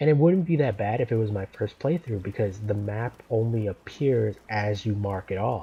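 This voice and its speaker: A man speaking at a moderate pace, his pitch fairly low with ordinary variation. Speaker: gaming YouTuber. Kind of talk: let's play gameplay commentary. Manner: casual, rambling with fillers and repetitions.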